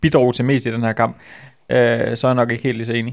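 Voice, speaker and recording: This is a man with a normal speaking voice at medium pitch, talking at a fairly quick pace. The recording is very clean, with a silent background. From West Jutland, Denmark. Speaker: football journalist. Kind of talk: casual chat. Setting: studio.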